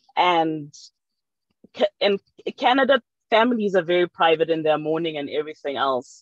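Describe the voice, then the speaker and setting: A woman with a fairly low pitch speaks at a moderate pace. The background is quiet and the sound is dry with no echo. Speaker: audience participant; panellist. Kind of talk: audience comment. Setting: video call. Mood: calm, reflective. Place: car. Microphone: video call.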